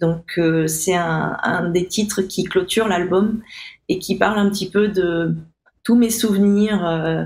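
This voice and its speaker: Very slowly, a woman talks in a medium pitch, keeping her intonation fairly even. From Réunion (Saint-Benoît). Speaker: musician. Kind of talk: interview. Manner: halting, many fillers.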